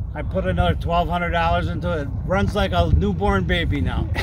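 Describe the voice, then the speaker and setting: A man talks at a fairly quick pace. The sound is dry with no echo, though noticeable background noise runs underneath. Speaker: retiree living in a car. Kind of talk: casual interview. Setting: outdoors by his car. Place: open country. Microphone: camera far.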